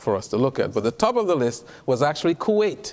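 A man's voice with very wide pitch swings. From Trinidad. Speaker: physician and health speaker. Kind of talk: lecture.

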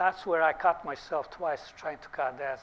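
With a Bosnian accent, this man talks at a moderate pace in a fairly high pitch, his intonation fairly even. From Bosnia (former Yugoslavia). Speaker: dentist. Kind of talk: lecture. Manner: halting.

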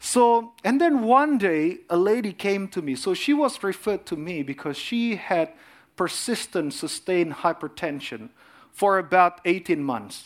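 Over a silent background in a very clean recording, a man speaks fairly slowly at a high pitch, his pitch swinging very widely. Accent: Indonesian. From Indonesia. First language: Indonesian. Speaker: cardiologist and lay preacher. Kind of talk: sermon.

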